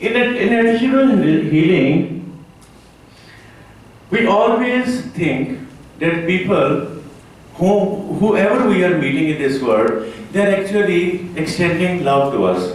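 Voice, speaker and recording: Speaking very slowly with long, frequent pauses, a man with a non-native accent and a high pitch makes very wide pitch swings, with audible room echo and noticeable background noise. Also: very even loudness. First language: not English. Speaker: conference speaker, rehab organization head. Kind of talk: conference talk. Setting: conference hall with audience. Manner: halting, many fillers.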